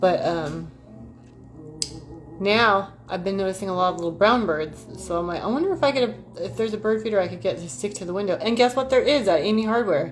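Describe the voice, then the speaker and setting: A fairly quick pace with lively intonation and audible room echo. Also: woman. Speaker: YouTuber doing card readings. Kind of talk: casual livestream chat with oracle card reading. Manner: fast; animated.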